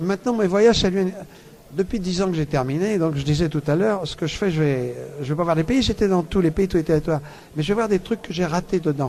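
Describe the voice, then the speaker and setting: Pitched high, a man rattles along at a very fast pace with ordinary pitch variation. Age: 70s. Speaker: world traveller and author. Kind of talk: radio interview. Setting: book fair radio booth.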